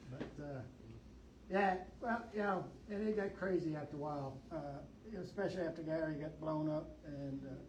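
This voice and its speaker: With long, frequent pauses and a moderate pace, a man speaks at a fairly high pitch with ordinary pitch variation, over noticeable background noise and audible room echo. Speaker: Vietnam war veteran, tunnel rat. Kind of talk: Q&A talk at library event. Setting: library event with audience. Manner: casual, conversational.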